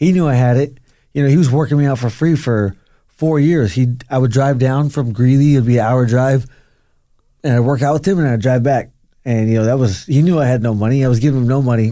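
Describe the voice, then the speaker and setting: A dark, mellow tone with an American accent moves at a fairly quick pace, its loudness staying very even. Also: man, medium pitch for a man, ordinary pitch variation. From Arizona, USA. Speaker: professional mixed martial artist. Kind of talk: interview answer.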